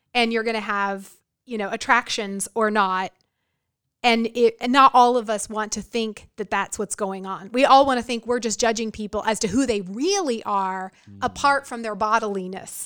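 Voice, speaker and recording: A woman with an American accent speaks in a normal speaking voice at a fairly high pitch and a moderate pace, with fairly even intonation. Her loudness swings widely, and the recording is very clean with a silent background. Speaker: history professor; college professor. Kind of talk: casual conversational podcast discussion on race and history.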